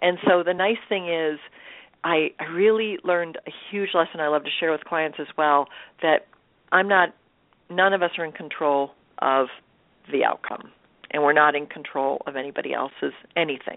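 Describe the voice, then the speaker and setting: At a moderate pace and a fairly low pitch, a woman speaks with ordinary pitch variation and long, frequent pauses. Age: 50s. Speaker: motivational speaker and empowerment coach. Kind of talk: interview.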